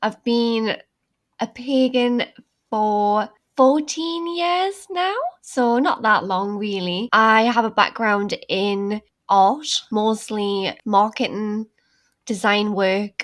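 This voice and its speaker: Lively intonation marks this woman's speech in a Geordie accent. She talks at a very slow pace. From northern England, Newcastle. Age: 20s. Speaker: creative director of an online pagan magazine. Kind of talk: podcast interview.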